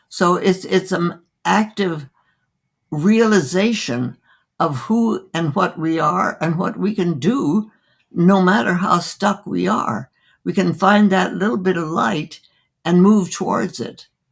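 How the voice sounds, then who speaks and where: A woman's voice with vocal fry and lively intonation at a very slow pace. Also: fairly low pitch for a woman. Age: 80s+. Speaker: physician. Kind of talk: interview answer.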